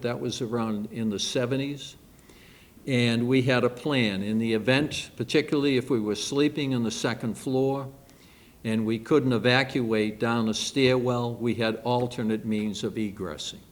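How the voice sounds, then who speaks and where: A man with a Boston accent speaks at a fairly slow pace, his medium pitch held in fairly even intonation. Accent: Boston-area New England. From Massachusetts, Quincy area. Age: 70s. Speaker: retired fire captain. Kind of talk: public talk. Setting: library event with audience. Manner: halting with frequent fillers.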